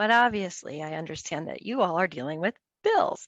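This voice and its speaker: Over a quiet background, a woman talks at a fairly quick pace in an animated tone with very wide pitch swings, the sound dry and close with no echo. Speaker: city water conservation presenter. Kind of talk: webinar presentation. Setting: online webinar. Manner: fast.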